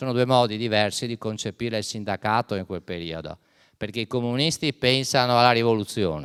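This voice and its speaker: In a very clean recording with a silent background and a dry, close sound with no echo, a man talks at a fairly quick pace with an unremarkable speaking voice at medium pitch and ordinary pitch variation. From Venice, Italy. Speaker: historian. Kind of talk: lecture.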